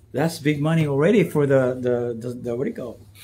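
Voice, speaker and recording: This man's voice is somewhat breathy. Its tone is dark and mellow. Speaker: vlogger / actor. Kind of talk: casual livestream monologue. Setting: Instagram live vlog. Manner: halting, many fillers and repetitions.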